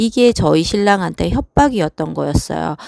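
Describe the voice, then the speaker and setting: On a very clean recording with a silent background and a dry, close sound with no echo, a woman talks at a fairly slow pace in a fairly low pitch. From South Korea. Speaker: vlogger. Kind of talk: personal monologue. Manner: hesitant, with fillers.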